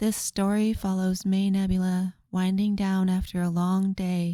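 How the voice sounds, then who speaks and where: A soft-spoken woman talks very slowly in a dark, mellow, gentle tone. Her intonation is flat and monotone on a very clean recording with a silent background. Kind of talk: sleep story. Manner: soft-spoken, slow, gentle.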